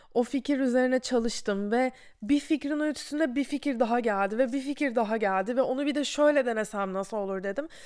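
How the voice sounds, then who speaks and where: A very clean recording against a silent background, with ordinary pitch variation and a moderate pace. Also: woman. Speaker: podcast host. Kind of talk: casual monologue. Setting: videocast recording.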